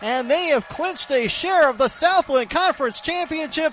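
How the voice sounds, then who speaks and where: Behind the lively intonation, background noise is clearly noticeable. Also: man. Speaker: sports radio play-by-play announcer. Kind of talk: college football radio play-by-play call of a touchdown.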